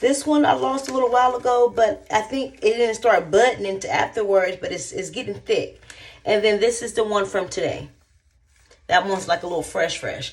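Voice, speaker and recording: A woman with a fairly high pitch speaks with lively intonation and vocal fry. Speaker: hair vlogger. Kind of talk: casual vlog chat.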